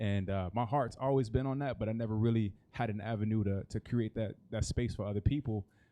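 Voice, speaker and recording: With an unremarkable speaking voice, a man talks at a fairly quick pace and fairly low pitch, using fairly even intonation and hardly any pauses. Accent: American. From US Midwest, Kansas City, Missouri. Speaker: nonprofit co-founder. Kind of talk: panel discussion.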